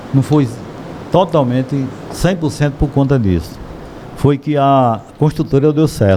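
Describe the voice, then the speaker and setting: The man's pitch is fairly high, and his pace is fairly slow with long, frequent pauses. Noticeable background noise runs underneath. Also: ordinary pitch variation, very even loudness. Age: 60s. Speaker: shop owner. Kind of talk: podcast interview.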